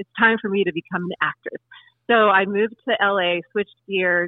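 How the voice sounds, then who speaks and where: A woman with an American accent and an unremarkable speaking voice, medium in pitch, at a fairly quick pace. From US West Coast (Oregon/California). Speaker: singer, actor and YouTube comedian. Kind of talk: interview. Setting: phone call.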